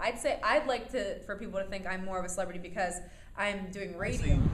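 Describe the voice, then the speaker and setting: A woman's energetic, very fast speech at a medium pitch with ordinary pitch variation, with audible room echo and noticeable background noise. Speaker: reality TV alum and radio host. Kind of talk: interview. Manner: loud, energetic.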